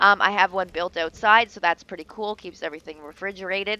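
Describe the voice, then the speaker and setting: A woman speaks with a bright, sharp tone and fairly even intonation. The sound is dry and close, with no echo. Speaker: gaming YouTuber. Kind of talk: gameplay tutorial. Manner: fast; casual, many fillers.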